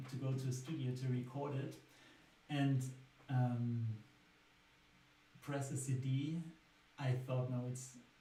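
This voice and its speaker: With a German accent, a man speaks at medium pitch in a monotone, flat intonation and a fairly slow pace, amid noticeable background noise and audible room echo. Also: long, frequent pauses. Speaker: singer-songwriter. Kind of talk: casual talk about own songwriting. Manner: hesitant with fillers.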